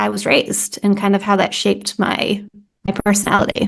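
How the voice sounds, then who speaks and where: A woman speaks at a medium pitch. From US Northeast, New England. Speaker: content strategy consultant, founder. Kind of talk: podcast interview. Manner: fast.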